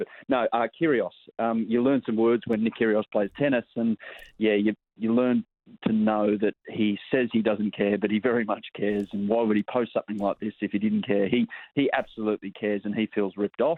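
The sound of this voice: At a fairly quick pace, a man with a fairly low pitch talks in fairly even intonation, the sound dry and close with no echo.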